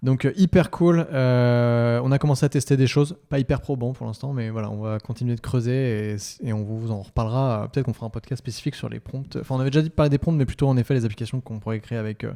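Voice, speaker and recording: The voice has a dark, mellow tone and ordinary pitch variation, racing along at a very fast pace with hardly any pauses. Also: man, medium pitch for a man. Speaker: Shopify agency podcast host. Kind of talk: casual podcast chat.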